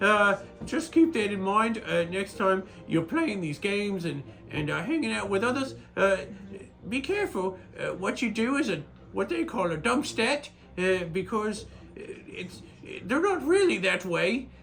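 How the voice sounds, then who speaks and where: Using a put-on character voice, a man speaks high for a man at a moderate pace with long, frequent pauses over clear background noise. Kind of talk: character vlog monologue. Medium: solo performance. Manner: rambling, hesitant, full of filler words.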